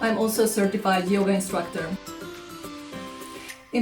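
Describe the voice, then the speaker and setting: With music in the background, a woman with a Hungarian accent speaks at a moderate pace. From Hungary. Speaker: language teacher. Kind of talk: self-introduction talk to camera.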